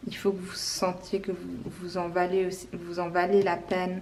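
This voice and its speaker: A woman's calm tone at a fairly slow pace, with audible room echo. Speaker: tarot card reader. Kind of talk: tarot reading video.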